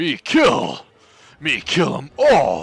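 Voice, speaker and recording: A man performs in a put-on character voice. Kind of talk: broken, primitive speech. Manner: dumb, lumbering.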